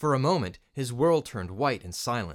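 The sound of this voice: The speaker has an unforced reading voice. The intonation is lively.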